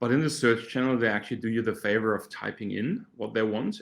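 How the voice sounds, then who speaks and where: On a very clean recording with a silent background, a man with a German accent and medium pitch talks at a very fast pace. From Germany. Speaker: startup co-founder, search marketing expert. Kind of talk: podcast interview. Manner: halting, with repeated words.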